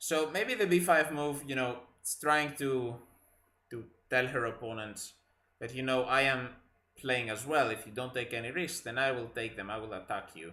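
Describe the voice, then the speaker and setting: With a Greek accent and a bright, sharp tone, a man talks at a moderate pace with ordinary pitch variation amid audible room echo. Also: medium pitch for a man. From Greece. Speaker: chess commentator. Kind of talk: live commentary. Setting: live stream.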